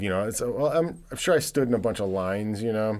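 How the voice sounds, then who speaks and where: A man with an unremarkable speaking voice, medium pitch and lively intonation. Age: 40s. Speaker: podcast host. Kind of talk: casual chat.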